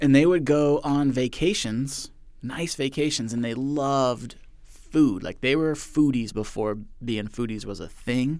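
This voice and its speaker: Here is a man with a plain, everyday voice at a medium pitch. He speaks fairly slowly with ordinary pitch variation. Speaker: podcast host. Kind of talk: casual chat.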